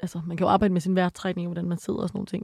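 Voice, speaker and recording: A woman speaks at medium pitch with a dark, mellow tone. The sound is dry and close with no echo, and the background is quiet. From Denmark. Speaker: psychology student and sex educator. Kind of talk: casual chat.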